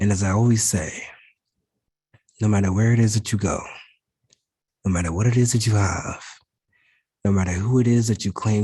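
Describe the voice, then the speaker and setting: Somewhat breathy, a man speaks at a fairly low pitch and a moderate pace. His intonation stays fairly even. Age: 20s. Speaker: motivational speaker, spoken word presenter. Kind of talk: inspirational spoken word presentation to health care professionals.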